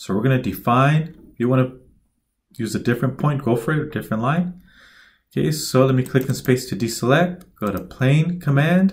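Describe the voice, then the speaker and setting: The man's voice is somewhat breathy, at a medium pitch. His intonation is lively. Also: moderate pace. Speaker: instructor. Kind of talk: tutorial.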